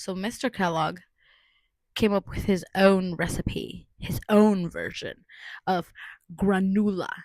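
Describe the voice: Speech comes at a slow pace with ordinary pitch variation, in a dry, close sound with no echo. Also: woman.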